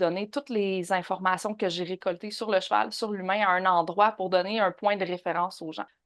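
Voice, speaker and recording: A woman with a Quebec accent speaks at a moderate pace with fairly even intonation. The background is quiet. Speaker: horse behaviourist and online trainer. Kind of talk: podcast interview.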